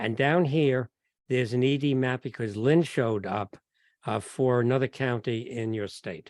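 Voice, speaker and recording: Against a quiet background, a man with a New York accent speaks at a moderate pace and medium pitch, with ordinary pitch variation and a dry, close sound with no echo. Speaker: genealogy speaker. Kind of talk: lecture. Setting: video call. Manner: halting.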